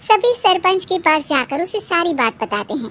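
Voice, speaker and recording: A woman's put-on character voice, squeaky and extremely high-pitched, with very wide pitch swings at a moderate pace. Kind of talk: moral story narration. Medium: read story.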